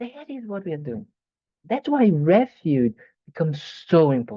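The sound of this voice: Big pitch swings and a slightly husky edge mark this voice, which moves at a fairly slow pace.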